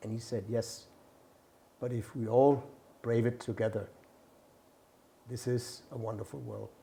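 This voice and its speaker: A man's medium-pitched voice with a Danish accent, dark and mellow in tone, with vocal fry, fairly even intonation, a fairly slow pace and long, frequent pauses. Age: 60s. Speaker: ambassador. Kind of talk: inspirational message to camera; interview. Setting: embassy.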